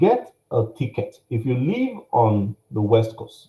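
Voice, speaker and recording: A man speaks with a Nigerian accent in a dark, mellow tone that is somewhat breathy. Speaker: workshop speaker, business coach. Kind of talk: workshop presentation. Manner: animated.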